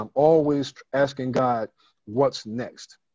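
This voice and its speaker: Fairly even intonation marks this man's speech at a moderate pace. The background is quiet and the sound is dry with no echo. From US Northeast (Brooklyn, New York); New York. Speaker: church elder and author; guest. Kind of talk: interview. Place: home room. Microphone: video call.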